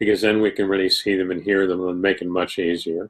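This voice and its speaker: A man with an American accent speaks in a normal speaking voice, with a fairly low pitch and fairly even intonation. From New York State. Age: 60s. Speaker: spiritualist medium and teacher. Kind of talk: casual talk to a live online audience. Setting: live video stream.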